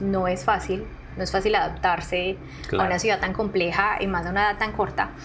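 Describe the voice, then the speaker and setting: A woman with a Colombian accent, medium pitch and a fairly quick pace, with music in the background. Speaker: artist and art educator. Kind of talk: podcast interview answer.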